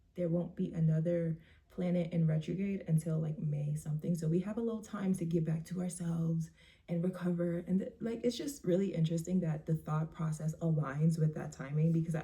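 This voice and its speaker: Fairly quick in pace, a woman talks in an ordinary speaking voice at fairly low pitch. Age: 20s. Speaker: vlogger. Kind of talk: casual monologue.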